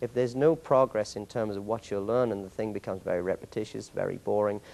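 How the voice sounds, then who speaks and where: A man speaks with an English accent and a fairly low pitch. His intonation stays fairly even. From England. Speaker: martial arts master instructor. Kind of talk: interview. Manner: halting, many repeated words.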